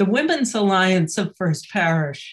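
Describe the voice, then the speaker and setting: Somewhat breathy, a woman speaks at a fairly slow pace with ordinary pitch variation over a quiet background. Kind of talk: welcome announcement. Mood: warm, welcoming. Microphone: webcam.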